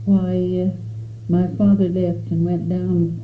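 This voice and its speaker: A woman speaks with an American accent. Audible room echo and noticeable background noise fill the recording. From Arizona, US Southwest. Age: 80s+. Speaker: elderly pioneer recounting her life. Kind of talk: oral history interview. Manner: halting, with frequent hesitations.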